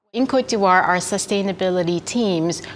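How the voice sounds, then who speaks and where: The speech moves at a moderate pace with ordinary pitch variation, against noticeable background noise. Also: woman. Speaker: food company representative. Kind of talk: corporate promotional interview.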